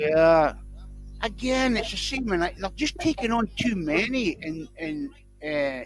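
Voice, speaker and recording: Someone with a Scottish accent speaks at a fairly slow pace while music plays in the background. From Scotland. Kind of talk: casual chat.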